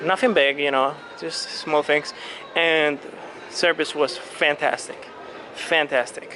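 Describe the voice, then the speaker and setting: Speaking very slowly with long, frequent pauses, a man with a Latin American accent uses a fairly high pitch and fairly even intonation over noticeable background noise. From Colombia. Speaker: cruise vlogger. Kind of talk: walking video tour. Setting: on a cruise ship. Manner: casual with many fillers.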